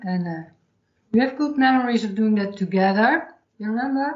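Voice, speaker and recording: Somewhat breathy, a woman with a Dutch accent and fairly high pitch talks with ordinary pitch variation. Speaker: podcast host, hypnotherapist. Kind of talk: podcast intro; casual interview chat.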